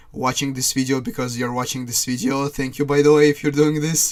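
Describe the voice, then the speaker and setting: A man speaks at a medium pitch with a non-native accent. His intonation is monotone and flat. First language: not English. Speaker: gaming YouTuber. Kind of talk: casual monologue.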